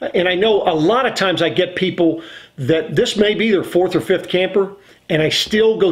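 The background is quiet here. A man's intonation is lively, and his pace is moderate. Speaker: RV salesman. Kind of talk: casual vlog explanation. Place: home room.

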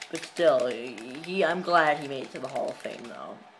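Fairly slow speech amid noticeable background noise. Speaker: gamer vlogger. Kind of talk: casual gameplay commentary. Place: home room. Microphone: phone near.

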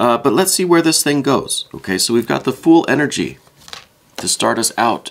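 Noticeable background noise sits under the speech. The pace is moderate. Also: man, medium pitch for a man. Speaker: tarot reader. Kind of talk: tarot reading.

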